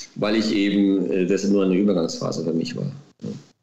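Moderate pace from a man, with audible room echo and noticeable background noise. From Baden-Württemberg, near Heidelberg. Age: 40s. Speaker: former footballer, racehorse trainer. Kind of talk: interview. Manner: hesitant with many fillers.

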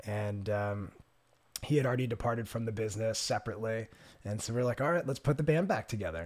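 Speaking very fast with an American accent, a man uses a medium pitch and ordinary pitch variation. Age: 30s. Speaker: entrepreneur and skydiver. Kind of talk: casual chat.

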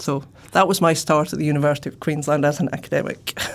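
A woman's very deep, low voice at a fairly quick pace. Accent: Shetland. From Scotland, Shetland. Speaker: professor. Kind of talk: interview.

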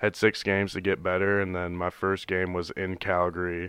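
A man with an American accent speaks at a very deep, low pitch in a bright, sharp tone and a monotone, flat intonation. The sound is dry and close with no echo over a quiet background. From US Midwest. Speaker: pro football player and stand-up comedian. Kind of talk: casual chat.

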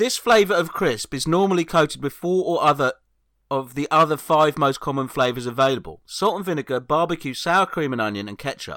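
With an English accent, a man talks at a fairly quick pace in a fairly high pitch, his tone bright and sharp and his intonation lively, recorded dry and close with no echo. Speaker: comedian. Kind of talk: casual chat. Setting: remote recording, own microphone.

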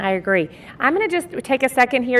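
With an American accent, a woman talks at a very fast pace, her high pitch moving in very wide swings. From Texas. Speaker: podcast host, marketing business owner. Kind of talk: interview. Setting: convention booth.

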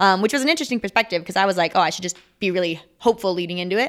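A woman with an American accent at medium pitch, with ordinary pitch variation and a very fast pace, on a very clean recording with a silent background. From Minnesota. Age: 20s. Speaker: Olympic sport climber. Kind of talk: interview.

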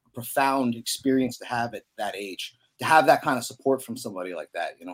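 A man talks at a medium pitch and a fairly quick pace. His intonation is lively.

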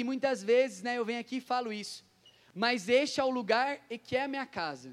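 An animated man talks at a fairly quick pace with an extremely high pitch and ordinary pitch variation, on a very clean recording with a silent background. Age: 20s. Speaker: prayer group coordinator and preacher. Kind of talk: sermon.

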